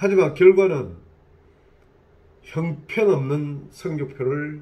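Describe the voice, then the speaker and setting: Talking at a very slow pace, a man uses a fairly high pitch with ordinary pitch variation. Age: 60s. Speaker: licensed real estate agent. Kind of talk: casual talk to camera.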